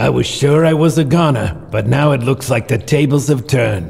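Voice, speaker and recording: At a moderate pace, a man uses a put-on character voice at a medium pitch over light background noise. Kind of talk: hard-boiled noir voice-over parody. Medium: audio drama. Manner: dry, clipped, deadpan.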